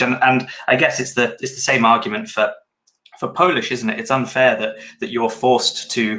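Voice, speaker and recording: A man with a British accent talks at a moderate pace and a medium pitch. His tone is bright and sharp, with ordinary pitch variation. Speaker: podcast co-host, developer. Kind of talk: casual chat.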